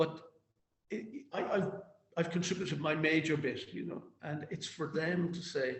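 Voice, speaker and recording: Speaking in a Cork accent, a man talks at a moderate pace in a fairly high pitch, with long, frequent pauses. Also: ordinary pitch variation. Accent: Cork Irish. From Ireland, Cork. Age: 60s. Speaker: activist. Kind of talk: interview. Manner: halting, repetitive.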